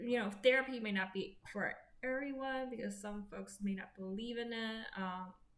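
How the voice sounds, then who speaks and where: Fairly high in pitch with fairly even intonation, a woman's voice carries audible room echo. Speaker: vlogger sharing personal health update. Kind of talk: personal vlog monologue. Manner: slow, halting with many fillers.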